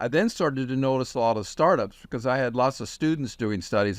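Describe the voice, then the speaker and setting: A man's normal speaking voice at medium pitch and a moderate pace, with ordinary pitch variation and a quiet background. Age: 60s. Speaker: technology expert and former professor. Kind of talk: interview.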